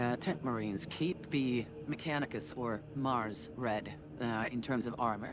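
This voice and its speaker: The voice is a woman's. She talks at a fairly slow pace. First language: not English. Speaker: gaming streamer. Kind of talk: casual gameplay commentary. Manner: halting, many fillers.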